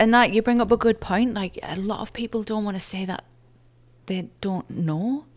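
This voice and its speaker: In an English accent, a woman speaks at a moderate pace with a fairly high pitch and fairly even intonation. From England. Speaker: emergency room nurse. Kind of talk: casual interview. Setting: video call.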